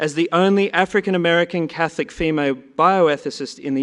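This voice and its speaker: A man with an Australian accent talks at a moderate pace, his fairly high voice full of lively intonation. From Australia, Sydney. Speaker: conference session chair. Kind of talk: conference introduction of speakers.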